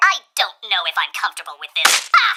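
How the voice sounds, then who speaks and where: A squeaky put-on character voice talks at a fairly quick pace. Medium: comedy sketch.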